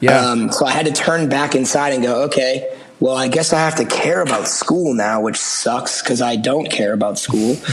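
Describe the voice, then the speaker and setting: There is noticeable background noise and audible room echo. A man speaks with a medium pitch. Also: ordinary pitch variation, moderate pace. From Massachusetts, near Boston. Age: 30s. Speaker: rock band frontman. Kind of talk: casual chat.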